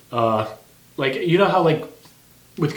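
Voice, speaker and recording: Very fast speech from a man, amid noticeable background noise and audible room echo. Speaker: podcast co-host. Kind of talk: casual chat.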